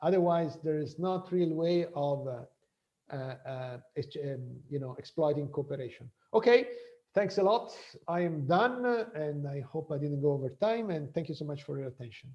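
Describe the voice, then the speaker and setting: Lively intonation marks this man's fairly high, somewhat breathy voice. He keeps a moderate pace. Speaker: professor. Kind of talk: lecture. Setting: video call.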